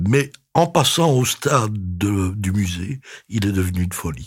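The recording is very clean, with a silent background. A man speaks in a somewhat breathy voice with very wide pitch swings. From Belgium. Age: 70s. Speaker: retired museum director and exhibition curator. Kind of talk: interview. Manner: halting, with frequent repetitions.

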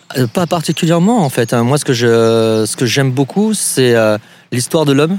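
A man talks at a fairly slow pace. His medium pitch shows ordinary variation. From southwestern France, Pau area. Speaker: canoe rental owner. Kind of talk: interview. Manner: halting.

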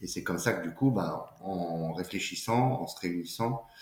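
The man talks at a fairly slow pace with a fairly low pitch and ordinary pitch variation. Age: 30s. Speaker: entrepreneur, company co-founder. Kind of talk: casual interview. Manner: halting, frequent repetitions and fillers.

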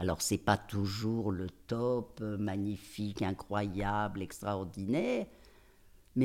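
A woman speaks very slowly in a very deep, low pitch. Her tone is dark and mellow. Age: 80s+. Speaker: gynecologist and author. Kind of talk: interview. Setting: house by the fireside. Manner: halting.

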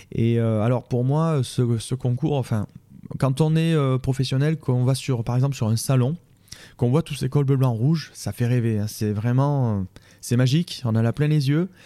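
A man with a dark, mellow tone speaks at a moderate pace and a medium pitch, with ordinary pitch variation. The recording is very clean, with a silent background. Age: 40s. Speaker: baker and vocational teacher. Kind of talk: interview. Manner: halting.

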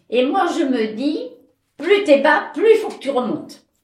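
Audible room echo surrounds speech that moves at a fairly slow pace with very wide pitch swings. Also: woman. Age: 80s+. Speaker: interviewee sharing life story. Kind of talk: testimony. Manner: halting.

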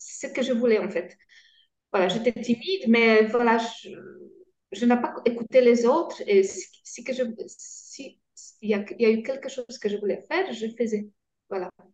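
The speaker has a Polish accent. There are long, frequent pauses and big swings in loudness. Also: woman, high pitch for a woman, ordinary pitch variation, fairly slow pace. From Poland. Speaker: guest, cancer patient, former engineer. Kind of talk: interview, personal testimony. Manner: halting, hesitant.

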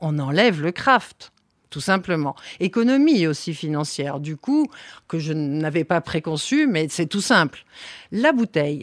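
A woman with fairly low pitch and lively intonation speaks at a fairly slow pace in a very clean recording with a silent background and a dry, close sound with no echo. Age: 60s. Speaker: winery owner and agronomist. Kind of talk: interview. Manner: hesitant, many fillers.

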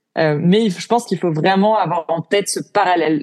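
Fairly even intonation and a moderate pace in a woman's fairly low-pitched voice. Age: 20s. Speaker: entrepreneur. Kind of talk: interview. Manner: hesitant, many fillers.

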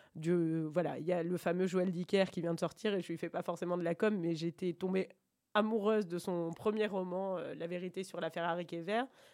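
On a very clean recording with a silent background, a woman talks in a fairly low voice with fairly even intonation. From France, Bordeaux. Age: 40s. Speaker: radio administrator and book reader guest. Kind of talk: interview about a book. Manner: hesitant, many fillers.

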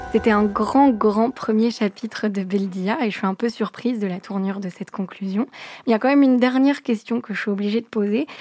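Amid noticeable background noise, a woman talks fairly quickly, fairly high in pitch with ordinary pitch variation. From France, Moroccan family from Fès. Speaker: radio host. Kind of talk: scripted narration. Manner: clear, fluent.

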